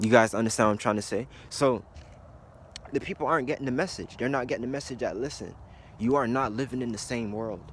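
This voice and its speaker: A man's medium-pitched voice with ordinary pitch variation, a very fast pace, and long, frequent pauses. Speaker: conspiracy video blogger. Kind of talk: casual monologue vlog.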